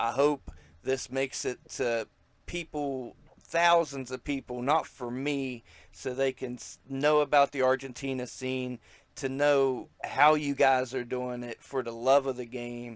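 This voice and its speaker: This man talks in an American accent at a fairly slow pace, his medium-pitched voice flat and monotone. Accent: redneck. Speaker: wrestling podcast host. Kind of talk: casual interview chat.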